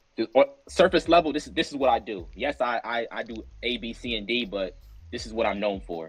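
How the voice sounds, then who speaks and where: With an American accent and vocal fry, the speaker moves at a fairly quick pace through very wide pitch swings and big swings in loudness. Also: man, medium pitch for a man. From New Jersey. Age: 20s. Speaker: podcast guest, fashion student. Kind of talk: casual podcast chat. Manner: halting, repeats words.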